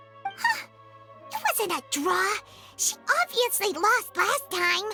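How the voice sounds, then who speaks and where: In a put-on character voice at an extremely high pitch, the speaker goes at a fairly slow pace over clear music in the background. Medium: video game. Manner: excitable.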